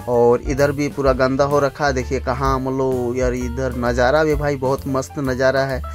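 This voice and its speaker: At a fairly slow pace, the speaker talks while faint music plays in the background. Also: man. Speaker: truck driver vlogger. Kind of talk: casual vlog chat. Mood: joking, teasing partner. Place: street. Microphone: phone near.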